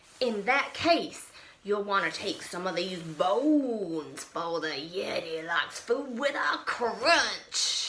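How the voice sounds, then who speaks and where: Someone uses a put-on character voice at a very slow pace, with clear background noise behind it. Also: woman, medium pitch for a woman. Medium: read story. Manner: furious, indignant.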